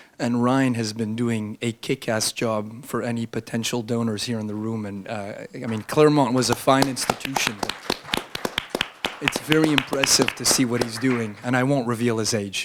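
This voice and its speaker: This man talks at a moderate pace with a medium pitch. Noticeable background noise runs behind him. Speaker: think tank scholar and panelist. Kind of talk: panel talk.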